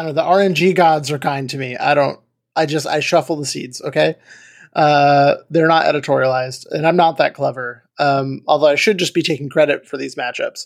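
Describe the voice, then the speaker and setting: Fairly high-pitched man with an unremarkable speaking voice, at a fairly quick pace with fairly even intonation. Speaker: podcast host. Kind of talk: casual banter. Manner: jokey, profane.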